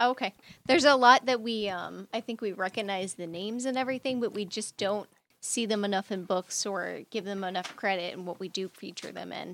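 A woman's ordinary speaking voice, medium in pitch with ordinary pitch variation, at a fairly quick pace with big swings in loudness, on a very clean recording with a silent background. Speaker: comic shop dealer and co-host.

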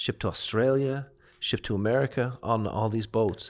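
Against a quiet background, a man with a Leinster accent speaks at a moderate pace and a medium pitch. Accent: Irish (Leinster). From Ireland, County Kildare near Dublin. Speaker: chef and restaurant owner. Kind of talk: casual interview chat. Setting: studio.

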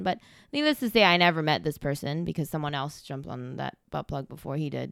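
A woman speaks at a very fast pace on a very clean recording with a silent background. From Malaysia. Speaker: app user, top trader. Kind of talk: casual interview.

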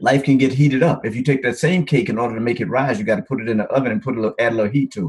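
A man's very fast, somewhat breathy speech with lively intonation and a Mississippi accent. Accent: Southern US (Mississippi). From US South, Mississippi Delta. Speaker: doctor and men's coach. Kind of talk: podcast interview.

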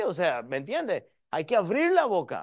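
The man's voice is high and his pace moderate. The background is quiet. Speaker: pastor. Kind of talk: sermon. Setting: church. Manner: teaching, repeatedly addressing the audience as 'hermanos' and urging 'escúcheme'.

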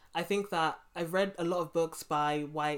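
A woman with a London accent speaks at a moderate pace in a very deep, low pitch. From England, London (Brixton). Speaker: podcast host. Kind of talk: interview. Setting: remote call.

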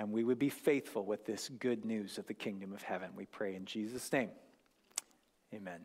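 An ordinary speaking voice with an American accent moves at a fairly quick pace. Intonation stays fairly even while loudness swings widely. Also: man, fairly low pitch for a man. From US Northwest, North Idaho. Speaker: guest preacher. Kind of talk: sermon. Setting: church.

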